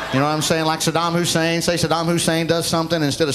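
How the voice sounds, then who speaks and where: Noticeable background noise sits behind a man with a Southern US accent who talks at a very fast pace in a fairly high voice. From US South, Oxford, Alabama. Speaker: stand-up comedian. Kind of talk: stand-up.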